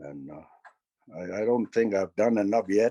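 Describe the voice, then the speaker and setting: Heard in a dry, close sound with no echo, a man speaks in a fairly low voice with a dark, mellow tone. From northern Manitoba, Canada (Dene First Nation). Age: 60s. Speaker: First Nations elder. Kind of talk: talk to an audience. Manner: halting, many fillers and repetitions.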